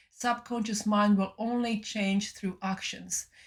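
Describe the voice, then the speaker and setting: A somewhat breathy woman's voice of medium pitch, moderate in pace with fairly even intonation. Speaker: spiritual channeler and mindfulness teacher. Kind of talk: channeled spiritual talk. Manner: halting, many fillers and repeats.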